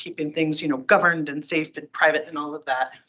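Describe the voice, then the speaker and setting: Very fast speech from a woman with a very deep, low voice. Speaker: tech company community advocate giving a talk. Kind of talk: presentation to user group. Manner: animated.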